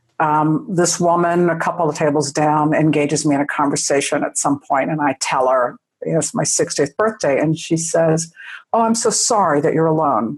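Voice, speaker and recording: A woman with a very deep, low pitch speaks at a moderate pace with very even loudness and ordinary pitch variation against a quiet background. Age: 60s. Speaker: sex educator and writer. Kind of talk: interview. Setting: podcast.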